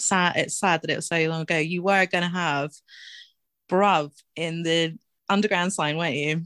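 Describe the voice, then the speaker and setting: Dry, close sound with no echo, fairly even intonation, an English accent, and a very clean recording over a silent background. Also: woman. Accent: English, non-rhotic. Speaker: tattoo artist. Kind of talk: casual chat.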